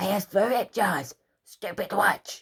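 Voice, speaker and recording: The speaker uses a put-on character voice. It is raspy and fairly high in pitch. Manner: energetic, exclaiming.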